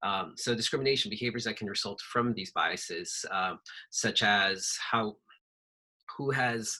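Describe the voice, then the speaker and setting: The tone is bright and sharp. The speech moves at a moderate pace. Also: man. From Peru. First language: Spanish. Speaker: workshop facilitator. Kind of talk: workshop presentation. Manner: hesitant, many fillers.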